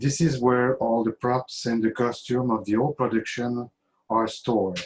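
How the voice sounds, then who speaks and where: A man with a French accent, medium pitch, fairly even intonation, very even loudness and a moderate pace. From Quebec, Canada. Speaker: fan giving a toast. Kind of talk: toast speech. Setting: video call.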